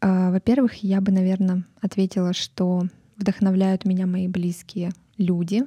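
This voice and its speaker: Against a silent background on a very clean recording, a woman of medium pitch speaks very slowly in a dark, mellow, somewhat breathy tone with a monotone, flat intonation. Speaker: podcast host. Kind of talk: solo podcast monologue.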